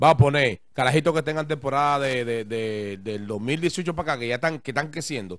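A man's medium-pitched voice with lively intonation at a fairly quick pace, in a dry sound with no echo and a quiet background. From Dominican Republic, Santo Domingo (Guachupita); Dominican Republic. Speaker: music producer and DJ; DJ. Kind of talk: interview. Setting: barbershop. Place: studio. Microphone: handheld.

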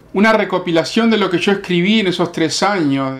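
This man speaks with a Uruguayan accent. His pitch is high. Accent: Uruguayan Rioplatense Spanish. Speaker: metal musician and founder of a band. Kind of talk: interview.

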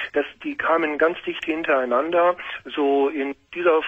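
Fairly even in intonation, a man speaks at a fairly slow pace. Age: 50s. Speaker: caller. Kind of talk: phone-in talk. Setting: phone call. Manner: halting. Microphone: echo on the line; phone line.

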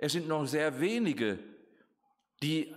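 A man speaks at a very slow pace with fairly high pitch, very wide pitch swings and vocal fry. The background is quiet. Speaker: preacher. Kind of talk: sermon. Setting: church. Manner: formal; earnest. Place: hall. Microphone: podium.

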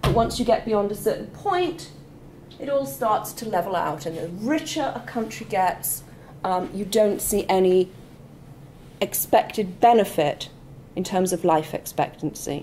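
A woman speaks with lively intonation. Light noise sits in the background. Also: fairly slow pace. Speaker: lecturer. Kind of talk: lecture. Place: classroom.

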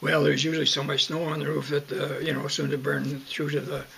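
Light background noise sits under a man's voice. He speaks with a western Canadian accent at a fairly quick pace. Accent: western Canadian rural. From Southern Alberta, Canada. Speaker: oral history interviewee; interviewee. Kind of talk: oral history interview. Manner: halting, many fillers. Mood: calm reminiscing. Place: home room. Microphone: webcam.

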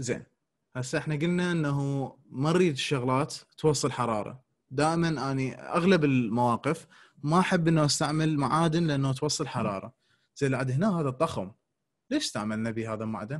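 This man talks at a moderate pace with ordinary pitch variation against a quiet background. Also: fairly high pitch for a man. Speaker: dental lecturer. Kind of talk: lecture.

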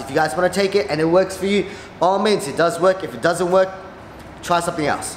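A man talks at a very fast pace, with audible room echo and light background noise. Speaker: vlogger. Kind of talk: casual vlog chat. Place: office.

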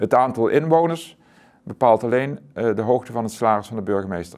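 A man speaks at a medium pitch and a moderate pace. The background is quiet. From Zuidoost-Brabant, Netherlands; Netherlands. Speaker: author; interviewee. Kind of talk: interview. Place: studio.

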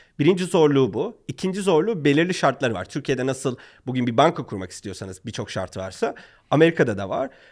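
A man with a fairly high pitch races at a very fast pace, using very wide pitch swings and big swings in loudness. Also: quiet background. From Turkey. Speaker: startup founder; guest. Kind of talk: podcast interview. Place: studio. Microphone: studio mic.

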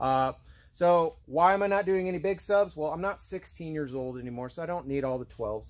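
A man is talking at a moderate pace. Behind him, the background is quiet. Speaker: DIY car channel host. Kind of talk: casual tutorial vlog chat. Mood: relaxed, joking. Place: garage. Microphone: phone near.

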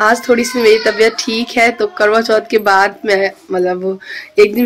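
Fairly even intonation is heard over light background noise. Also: woman. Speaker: home vlogger. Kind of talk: casual vlog chat. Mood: cheerful, chatty. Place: home room. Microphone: phone near.

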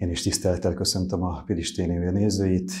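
Over light background noise, a man with a very deep, low pitch and a dark, mellow tone speaks at a moderate pace in a monotone, flat way. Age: 50s. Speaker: local council candidate; council candidate. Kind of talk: candidate self-introduction. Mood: polite, formal. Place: studio. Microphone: lapel.

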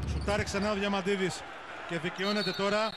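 The speech moves at a fairly quick pace while loud background noise plays beneath it. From Greece. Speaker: basketball commentator. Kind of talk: live sports commentary. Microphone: headset.

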